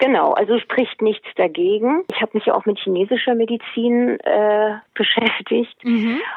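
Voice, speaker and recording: With hardly any pauses, a woman talks in a plain, everyday voice, her pitch fairly high and her loudness very even. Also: ordinary pitch variation, fairly slow pace. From Hesse, Germany. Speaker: book author and animal naturopath. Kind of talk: interview.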